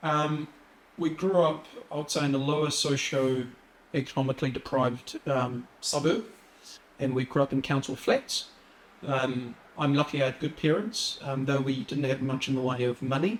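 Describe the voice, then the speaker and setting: A man with a New Zealand accent speaks at a moderate pace and a fairly high pitch, using ordinary pitch variation over noticeable background noise. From New Zealand, Wellington (arrived as young refugee). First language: Assyrian. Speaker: police officer. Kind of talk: interview. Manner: hesitant, many fillers.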